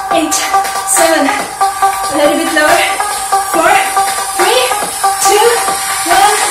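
Clear music plays in the background, and audible room echo fills the space. A woman talks at a very slow pace. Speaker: fitness instructor. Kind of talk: workout instruction and vlog intro. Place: home room.

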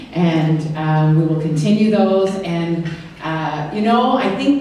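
Light background noise and strong room echo surround a woman talking at a very slow pace. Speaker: government minister, keynote speaker. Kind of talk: after-dinner speech. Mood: warm, joking. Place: hall.

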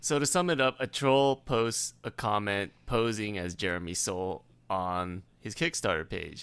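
A man with an ordinary speaking voice talks at a fairly slow pace in a fairly low pitch, with hardly any pauses. His intonation is lively, and the recording is very clean with a silent background. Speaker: podcast co-host. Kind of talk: casual chat.

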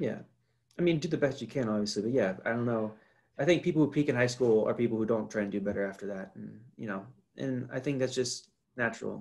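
Very fast speech in an American accent, with ordinary pitch variation. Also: man. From North Carolina. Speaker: podcast guest, host's roommate. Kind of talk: casual chat. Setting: video call. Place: home room. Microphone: webcam.

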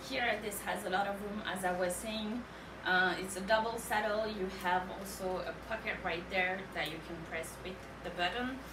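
A woman talks with a French accent and fairly even intonation. Noticeable background noise runs under her voice. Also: medium pitch for a woman, moderate pace. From France. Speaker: live sale host. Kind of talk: live shopping presentation. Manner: casual, chatty. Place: shop. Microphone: camera far.

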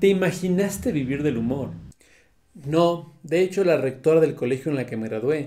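A dark, mellow tone carries the voice. It moves fairly slowly. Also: man. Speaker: comedian and writer. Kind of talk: self-interview, casual talk.

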